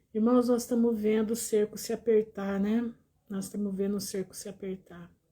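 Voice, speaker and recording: This woman's voice sits fairly high and is somewhat breathy, with a dark, mellow tone. She speaks at a moderate pace in a monotone, flat delivery. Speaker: lay preacher. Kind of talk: live-stream Bible talk.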